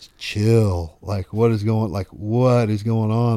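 In a Southern US accent, the voice has a dark, mellow tone and fairly even intonation. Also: man. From US South. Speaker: radio host and country music artist. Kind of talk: casual chat. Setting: home, on a couch.

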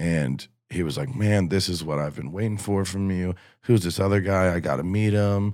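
A man with an ordinary speaking voice and an American accent talks at a moderate pace in a fairly low pitch with lively intonation, in a very clean recording with a silent background. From southwest Ohio, north of Cincinnati. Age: 20s. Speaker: country musician. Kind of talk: casual chat.

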